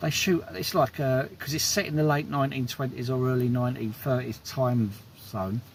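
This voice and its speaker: A man speaks at a medium pitch and a moderate pace, his pitch varying in an ordinary way. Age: 60s. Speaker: film reviewer vlogger. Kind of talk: casual film review monologue. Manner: hesitant with repetitions.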